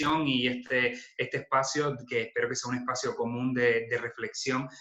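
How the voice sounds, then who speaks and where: The man's intonation is flat and monotone. He speaks at a moderate pace. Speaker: social worker giving a talk. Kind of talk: online lecture. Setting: video call webinar.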